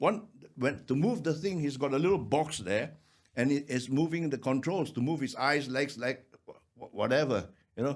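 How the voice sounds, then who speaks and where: A man's fairly high voice with vocal fry. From Malaysia. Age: 60s. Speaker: actor. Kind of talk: casual chat. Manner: halting.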